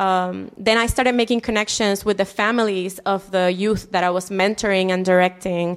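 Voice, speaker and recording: In a Spanish accent, the speaker keeps a moderate pace with hardly any pauses, a monotone, flat intonation and very even loudness. The recording is very clean, with a silent background. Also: woman, medium pitch for a woman. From Puerto Rico, Humacao. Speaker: city council candidate, former teacher. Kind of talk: interview.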